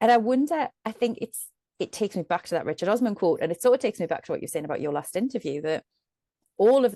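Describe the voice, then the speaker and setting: A woman speaks very fast with lively intonation and a dark, mellow tone. The sound is dry and close with no echo over a quiet background. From northeast England. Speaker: medium and storyteller. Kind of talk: podcast interview. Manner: animated.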